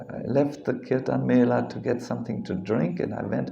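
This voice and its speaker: The voice comes with a German accent at a moderate pace. Audible room echo surrounds it. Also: man. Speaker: monk and spiritual teacher. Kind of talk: religious lecture. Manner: halting, with many fillers and repetitions.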